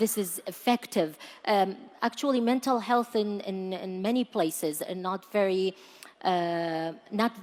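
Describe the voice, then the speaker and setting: Using a normal speaking voice, a woman with an American accent talks at a moderate pace with lively intonation. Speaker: panel moderator. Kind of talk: panel discussion.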